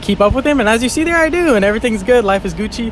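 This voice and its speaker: Very rapid delivery with ordinary pitch movement over clear background noise. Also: man. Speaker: wingsuit skydiver and vlogger. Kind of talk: video voiceover commentary. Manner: fast; animated.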